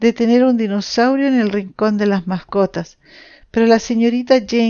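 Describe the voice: Simply plain reading aloud.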